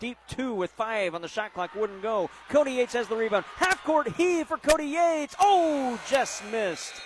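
A man speaks in an animated tone. Noticeable background noise can be heard. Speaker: radio sports announcer. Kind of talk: live play-by-play sports commentary. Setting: radio broadcast from a high school gym. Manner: fast, rapid-fire play-by-play, calling passes and shots as they happen; animated, swelling with excitement on made threes.

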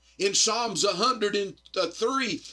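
A man's raised, projected voice, high-pitched, with a Southern US accent and music in the background. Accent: US South. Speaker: evangelist. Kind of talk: sermon. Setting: radio studio recording.

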